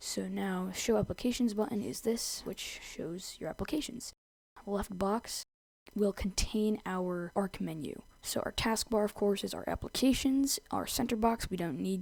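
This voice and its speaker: A woman's normal speaking voice at a medium pitch, with ordinary pitch variation and a fairly slow pace, on a very clean recording with a silent background. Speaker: tech tutorial creator. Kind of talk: screen-recorded software tutorial narration. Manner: casual.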